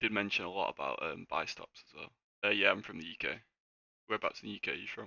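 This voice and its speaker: A man with a Mancunian accent, a very fast pace and big swings in loudness. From northern England, Manchester. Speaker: day trader streamer. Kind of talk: live trading stream chat. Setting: livestream.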